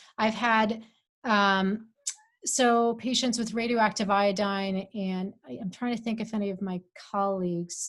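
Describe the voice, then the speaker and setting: Fairly slow delivery from a woman, her voice somewhat breathy. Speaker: physician. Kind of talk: expert Q&A answers. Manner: halting, many fillers.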